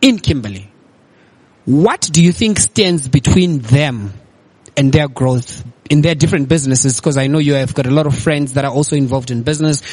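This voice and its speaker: At a moderate pace, a man talks in a fairly high, somewhat breathy voice. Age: young. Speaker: podcast host and public speaker. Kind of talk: casual interview. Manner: fluent, articulate.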